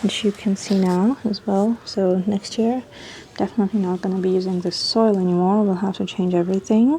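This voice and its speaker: A woman talks at a fairly quick pace in a medium pitch, her intonation fairly even. Noticeable background noise runs under her voice. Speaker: lifestyle vlogger. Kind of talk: casual vlog talk to camera. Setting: outdoors on balcony at night. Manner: quiet, talking softly.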